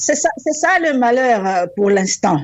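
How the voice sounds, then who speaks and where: The speaker is a woman. She talks with an English accent. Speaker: university rector. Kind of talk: radio interview. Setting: phone call.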